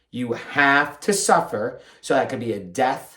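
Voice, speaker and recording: His voice sits at a medium pitch as the man speaks. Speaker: podcast host and fitness professional. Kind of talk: solo podcast monologue. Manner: fast; mumbling at times.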